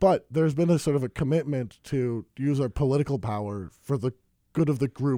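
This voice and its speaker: A man with an American accent speaks at a medium pitch and a moderate pace with lively intonation, in a very clean recording with a silent background and a dry, close sound with no echo. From US Midwest. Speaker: student. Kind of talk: casual chat. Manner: halting.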